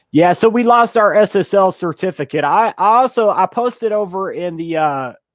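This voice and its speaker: The tone is energetic, with lively intonation. The sound is dry and close with no echo, over a quiet background. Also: man. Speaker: YouTuber streaming about money-making apps. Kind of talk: casual live stream talk. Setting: live stream. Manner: vocal, energetic on stream.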